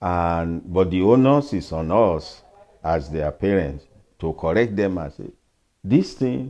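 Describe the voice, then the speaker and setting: In a Nigerian accent, a man talks at a fairly slow pace with lively intonation. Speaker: pastor and retired professor. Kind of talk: interview answer.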